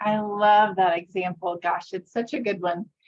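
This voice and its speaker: A woman speaks in a plain, everyday voice. Her pace is moderate and her intonation fairly even. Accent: American. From US, conservative evangelical state. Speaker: workshop presenter. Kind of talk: workshop presentation.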